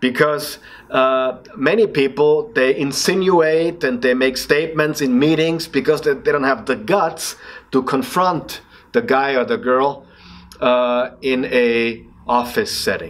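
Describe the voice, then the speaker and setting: A man with an Austrian accent speaks at a fairly slow pace in a fairly high voice. His intonation is lively and his loudness very even. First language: German. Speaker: leadership speaker and coach. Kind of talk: motivational podcast talk. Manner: passionate; halting.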